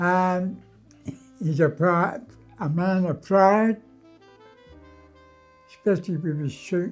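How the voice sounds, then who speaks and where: A man's high voice at a very slow pace, with long, frequent pauses, ordinary pitch variation and music in the background. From London. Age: 80s+. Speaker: Pearly King, charity fundraiser. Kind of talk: interview answer.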